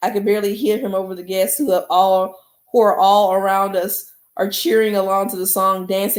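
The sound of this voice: An unforced reading voice is set against a quiet background.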